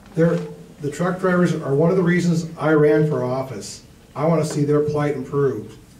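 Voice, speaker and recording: Fairly even intonation from a man at a moderate pace, with audible room echo and light background noise. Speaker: candidate. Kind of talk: debate answer. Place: hall.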